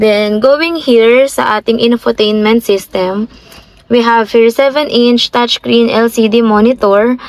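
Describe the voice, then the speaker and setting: Her intonation fairly even, a woman talks at a very slow pace in a dry sound with no echo. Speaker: car sales agent. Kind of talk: product walkthrough. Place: car. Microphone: phone near.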